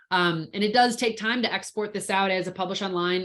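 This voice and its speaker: A woman's unremarkable speaking voice, medium in pitch, with fairly even intonation. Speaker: InDesign trainer. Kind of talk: tutorial.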